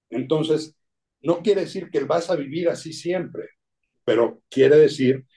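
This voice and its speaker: His tone is dark and mellow. The man speaks at a very slow pace. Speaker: addiction specialist and writer. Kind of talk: interview.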